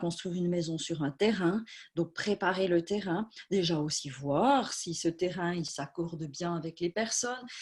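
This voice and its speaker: At a moderate pace, a woman speaks in a fairly low, somewhat breathy voice. Her pitch varies in an ordinary way. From Switzerland, Swiss Jura. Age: 40s. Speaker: medium. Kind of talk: talk at an online conference. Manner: hesitant, many fillers.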